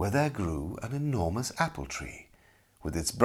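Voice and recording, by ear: Natural voice for reading aloud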